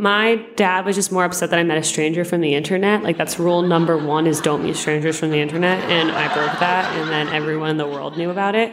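Very fast speech comes from a woman with a fairly low pitch and fairly even intonation. Noticeable background noise is present. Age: 20s. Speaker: teacher. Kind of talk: interview testimony.

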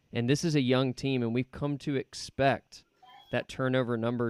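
Here is a man with an unremarkable speaking voice at a medium pitch and moderate pace. His intonation is fairly even, and the sound is dry and close with no echo. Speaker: podcast host. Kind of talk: casual sports podcast chat.

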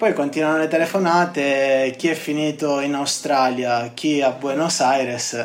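With fairly even intonation, a man speaks at a fairly slow pace and a fairly high pitch. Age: 20s. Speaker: construction engineer. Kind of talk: interview testimony. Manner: halting, with frequent word repetitions.

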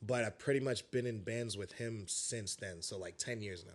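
Using a normal speaking voice, a man with an American accent talks at a fairly quick pace and a medium pitch with ordinary pitch variation. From New York City, Brooklyn (Bed-Stuy). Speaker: metal singer. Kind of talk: casual chat.

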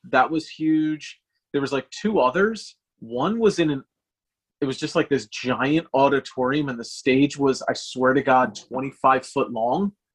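A man's unremarkable speaking voice, fairly high in pitch, with ordinary pitch variation and a fairly slow pace. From Philadelphia area. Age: 40s. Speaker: hardcore band guitarist. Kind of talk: casual chat.

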